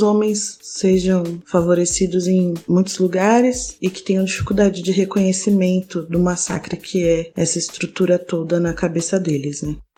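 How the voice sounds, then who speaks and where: A woman speaks with a dark, mellow tone at a fairly low pitch. Her intonation is monotone and flat. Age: 20s. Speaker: non-binary interviewee, theatre and audiovisual collective member. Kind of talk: personal testimony.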